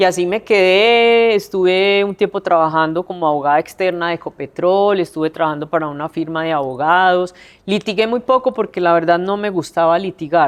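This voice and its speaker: Her voice is an unremarkable speaking voice, a woman's at a fairly low pitch, with ordinary pitch variation. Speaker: city councillor, former prosecutor. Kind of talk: interview answer.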